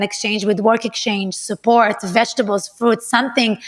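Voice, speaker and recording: A woman's fairly high voice with a non-native accent, fairly quick in pace, monotone and flat in intonation. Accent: foreign accent, immigrant to US. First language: not English. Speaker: yoga teacher. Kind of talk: casual interview chat.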